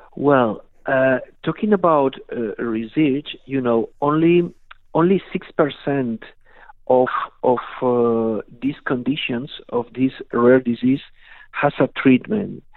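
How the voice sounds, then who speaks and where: Speaking with a Spanish accent, a man goes at a very slow pace with long, frequent pauses and ordinary pitch variation. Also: medium pitch for a man. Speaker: patient advocacy federation board member. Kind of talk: radio interview. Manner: halting.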